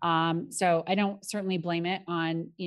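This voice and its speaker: In a normal speaking voice, a woman with an American accent talks at a moderate pace and fairly low pitch on a very clean recording with a silent background. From Colorado. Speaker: company CEO. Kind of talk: interview.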